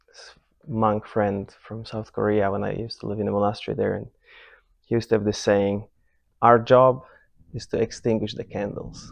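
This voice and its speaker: A soft-spoken man with a Polish accent talks at a moderate pace in a fairly low pitch. His intonation is monotone and flat, and the background is quiet. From Poland. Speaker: meditation teacher. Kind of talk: retreat talk. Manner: halting, many repetitions and restarts.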